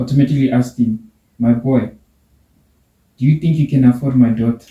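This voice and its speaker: A man at a medium pitch and fairly quick pace, with a dark, mellow, somewhat breathy tone, monotone, flat intonation and very even loudness. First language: not English. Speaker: podcast host. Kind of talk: casual chat; reading aloud. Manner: halting.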